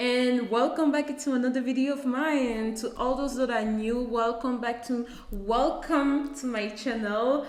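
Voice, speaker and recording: With a French accent, a woman speaks at a fairly slow pace and a high pitch amid noticeable background noise and audible room echo. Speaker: YouTuber. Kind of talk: casual vlog talk to camera. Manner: halting, searching for words; animated.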